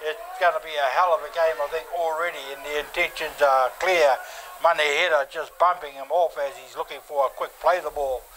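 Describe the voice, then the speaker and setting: Music plays in the background. A man speaks with fairly even intonation. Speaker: play-by-play commentator. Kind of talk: sports commentary. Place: stadium.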